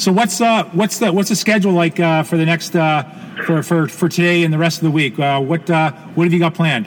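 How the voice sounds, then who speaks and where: With noticeable background noise, a man speaks at a fairly quick pace in a high pitch, keeping very even loudness and ordinary pitch variation. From Canada. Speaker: podcast host. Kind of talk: interview. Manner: halting, many repetitions and fillers.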